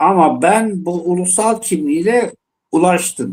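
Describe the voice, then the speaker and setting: This man speaks at a very slow pace with an Eastern Anatolian accent. His pitch is high for a man. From Dersim (Tunceli), eastern Turkey. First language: Zazaki (speaking Turkish). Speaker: panel guest, Zaza activist. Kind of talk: panel discussion on live TV. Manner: impassioned, emphatic.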